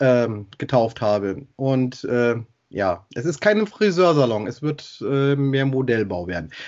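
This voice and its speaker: The pace is very slow. A man's voice sits at a medium pitch. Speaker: podcast host. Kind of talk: casual chat.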